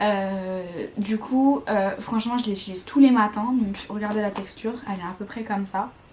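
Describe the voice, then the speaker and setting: Noticeable background noise sits under the speech. The delivery is moderately paced, and the intonation stays fairly even. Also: woman, medium pitch for a woman. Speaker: beauty vlogger. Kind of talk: casual product review. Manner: hesitant, many fillers and repetitions.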